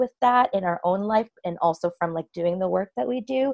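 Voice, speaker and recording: A woman's unremarkable speaking voice, medium in pitch, with lively intonation and an American accent. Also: dry, close sound with no echo. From US East Coast. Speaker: podcast host. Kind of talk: casual chat.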